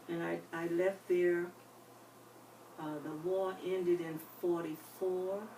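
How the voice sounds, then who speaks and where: In an American accent, a woman with a fairly low pitch speaks with monotone, flat intonation and long, frequent pauses, in audible room echo. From US South, North Carolina (Winston-Salem). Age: 80s+. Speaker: retirement home resident, life story interviewee. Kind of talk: oral history interview. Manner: halting.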